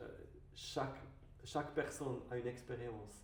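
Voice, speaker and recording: With a slight non-native accent, a man talks in a room with audible echo and noticeable background noise. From Switzerland. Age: 30s. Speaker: wine merchant and business owner. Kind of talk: podcast interview. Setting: studio video podcast. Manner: halting, many hesitations.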